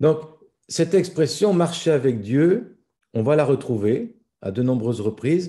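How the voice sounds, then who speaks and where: A man with a dark, mellow tone and fairly high pitch speaks fairly slowly. His pitch swings very widely, with long, frequent pauses. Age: 60s. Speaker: pastor. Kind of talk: sermon.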